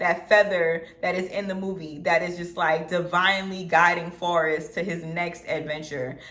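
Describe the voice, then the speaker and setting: Animated in tone, a woman with a fairly low pitch speaks amid noticeable background noise and audible room echo. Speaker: film reviewer YouTuber. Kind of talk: casual vlog commentary. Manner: occasionally tongue-tied.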